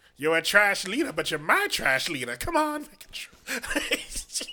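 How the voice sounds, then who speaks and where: In a put-on character voice, a female-sounding speaker talks shrilly at a medium pitch and a fairly slow pace. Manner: insulting, bossy.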